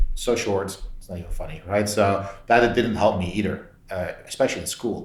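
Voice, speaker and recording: Somewhat breathy, a man with a Belgian accent speaks at a moderate pace with fairly even intonation amid audible room echo. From Belgium. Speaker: tech executive. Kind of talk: interview.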